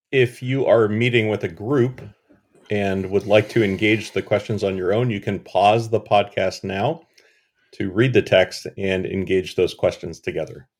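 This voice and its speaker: With an American accent, a man talks at a moderate pace in an ordinary speaking voice, fairly low in pitch with fairly even intonation. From Western Pennsylvania. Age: middle-aged. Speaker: pastor. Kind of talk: casual chat.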